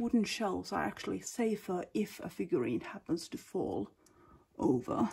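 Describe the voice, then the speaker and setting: At a moderate pace, a woman speaks with a Finnish accent. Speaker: figurine collector. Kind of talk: casual talk to camera. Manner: hesitant, many filler sounds.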